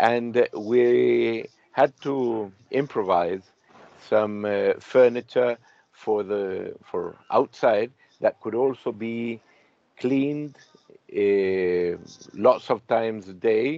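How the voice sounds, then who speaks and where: A dark, mellow tone at a very slow pace, with long, frequent pauses, ordinary pitch variation and a dry sound with no echo. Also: man, medium pitch for a man. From Chile. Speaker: industrial designer and interviewer; interviewee. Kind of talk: interview conversation. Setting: video call from a caravan at the beach. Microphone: video call.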